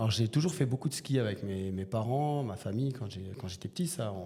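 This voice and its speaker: With a dark, mellow tone, a man speaks at a medium pitch and moderate pace, somewhat breathy and with lively intonation. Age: 40s. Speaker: teacher and bodybuilder. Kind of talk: podcast interview. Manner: hesitant, many fillers.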